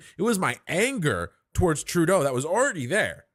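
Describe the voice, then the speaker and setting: A man with a Canadian accent and a high pitch speaks in an animated tone with very wide pitch swings, on a very clean recording with a silent background. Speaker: political commentator. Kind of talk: live stream reaction commentary.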